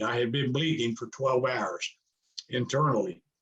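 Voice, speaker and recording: A somewhat breathy man's voice at medium pitch, with ordinary pitch variation and a moderate pace. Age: 70s. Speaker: real estate investor and speaker. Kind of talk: interview testimony. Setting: video call. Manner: hesitant, many fillers.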